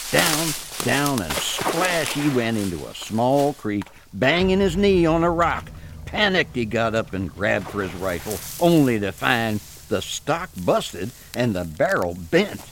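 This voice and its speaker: A man's fairly slow speech with very wide pitch swings and noticeable background noise. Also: medium pitch for a man. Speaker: story narrator. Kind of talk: ghost story telling, dramatic spooky narration. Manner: hushed, slow, building dread, eerie.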